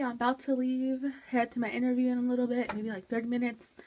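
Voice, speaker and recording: At a fairly quick pace, a woman talks in a high-pitched voice. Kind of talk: casual vlog. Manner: soft-spoken.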